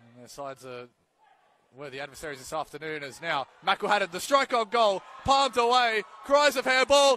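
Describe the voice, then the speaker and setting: A man's raised, projected voice, high-pitched, bright and sharp, animated, at a fairly quick pace, with very wide pitch swings and big swings in loudness, in a dry recording with no echo and light background noise. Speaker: football commentator. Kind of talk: live match commentary. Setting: stadium match broadcast. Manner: fast, clipped play-by-play delivery; animated, rising in excitement at goals and penalties. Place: stadium.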